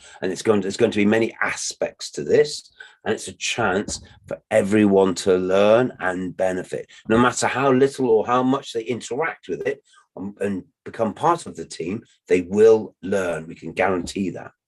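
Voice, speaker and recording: At a moderate pace, a man speaks with a fairly low pitch, ordinary pitch variation and big swings in loudness. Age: 60s. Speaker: permaculture teacher. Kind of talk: lecture. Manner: repetitive, halting in places.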